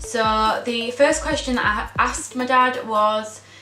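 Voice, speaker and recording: Audible room echo surrounds a woman's fairly high voice. Her intonation stays fairly even. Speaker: vlogger, daughter of cancer patient. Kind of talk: vlog monologue. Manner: hesitant, many ums.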